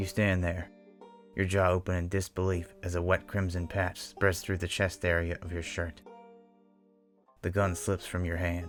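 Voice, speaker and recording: Music plays in the background while a man speaks at a moderate pace. His very deep, low voice has monotone, flat intonation. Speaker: horror story narrator. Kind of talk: Western horror story narration, first-person.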